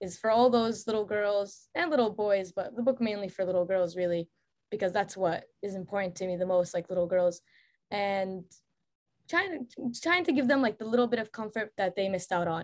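A woman with a plain, everyday voice at a medium pitch, with ordinary pitch variation and a fairly quick pace. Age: 20s. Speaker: author and painter. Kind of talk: casual interview chat.

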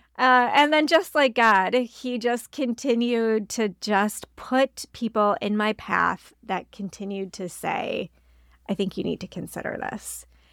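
A woman speaks at a fairly high pitch and a fairly slow pace, with ordinary pitch variation, in a plain, everyday voice. The recording is very clean, with a silent background and a dry, close sound with no echo. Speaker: pastor and ministry leader. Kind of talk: casual chat.

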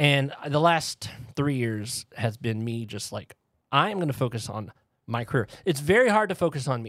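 A man's plain, everyday voice at medium pitch, with an American accent, lively intonation and a moderate pace. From Texas, New Braunfels. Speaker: co-host, former cult member. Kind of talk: casual chat.

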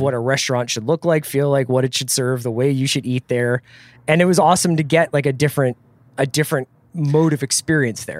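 A man speaks in an unremarkable speaking voice, fairly high in pitch, at a fairly quick pace with ordinary pitch variation. The sound is dry and close, with no echo. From southeastern Pennsylvania. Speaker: podcast host, editor. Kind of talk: casual chat.

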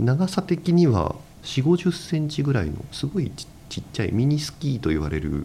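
Speaking at a moderate pace, a man uses lively intonation and a fairly high pitch, with a dark, mellow tone and some vocal fry. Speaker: construction company president. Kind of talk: interview. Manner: hesitant, many fillers.

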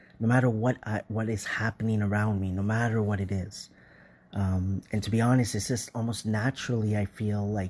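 In a quiet background, a man speaks fairly quickly with a fairly low pitch, a dark, mellow tone, somewhat breathy delivery and monotone, flat intonation. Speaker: listener voicemail contributor. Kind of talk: recorded voice message.

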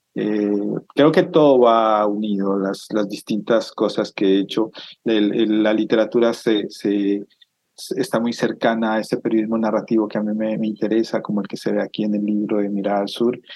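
A man keeps a moderate pace and fairly even intonation while talking at a fairly low pitch. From Colombia, Cauca (Almaguer). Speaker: author. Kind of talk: interview. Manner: halting, with frequent repetitions.

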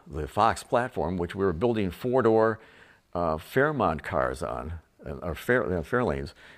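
On a very clean recording with a silent background, a man with an American accent talks at a moderate pace, with vocal fry and very wide pitch swings. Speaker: retired car designer. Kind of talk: casual narration. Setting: at home. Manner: halting, many fillers.

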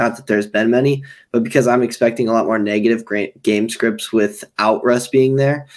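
On a very clean recording with a silent background, a man speaks at medium pitch in monotone, flat intonation. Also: fairly quick pace. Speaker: fantasy football podcaster. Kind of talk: sports analysis discussion.

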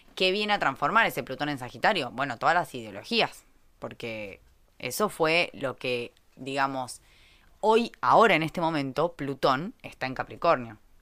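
A woman with a very deep, low pitch, very wide pitch swings, a bright, sharp, animated tone, and a Rioplatense accent. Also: moderate pace, very clean recording, silent background. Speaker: astrology podcast host. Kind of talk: casual chat.

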